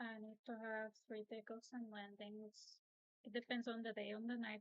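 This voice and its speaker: A woman with a non-native accent talks at a moderate pace in a fairly high pitch. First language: not English. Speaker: student pilot. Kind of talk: oral exam answers.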